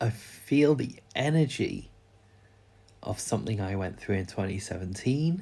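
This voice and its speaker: Pausing long and often, a man with a British accent talks at a fairly slow pace, his intonation lively and his voice somewhat breathy. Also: very clean recording, silent background. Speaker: vlogger. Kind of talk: personal vlog. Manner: slow, unhurried; halting.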